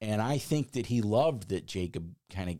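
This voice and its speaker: With an American accent, a man with a dark, mellow tone and fairly low pitch talks at a fairly slow pace with lively intonation, on a very clean recording with a silent background. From suburban Chicago. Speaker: podcast host. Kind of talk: casual chat.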